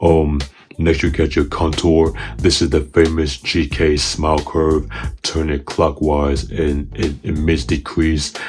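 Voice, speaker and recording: With music in the background, a man talks at a fairly slow pace in a very deep, low voice with fairly even intonation. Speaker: bass player and gear reviewer. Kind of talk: product review tutorial. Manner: hesitant, many fillers.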